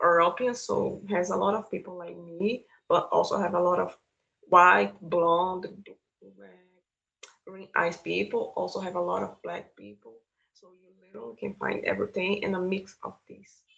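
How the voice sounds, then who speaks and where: Her loudness swinging widely, a woman speaks at a moderate pace. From Brazil, São Paulo. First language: Portuguese. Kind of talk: interview.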